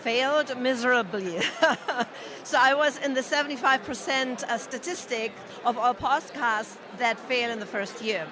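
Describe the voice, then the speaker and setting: A woman speaks in a high-pitched voice while crowd noise carries on in the background. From Germany. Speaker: podcaster. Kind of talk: interview.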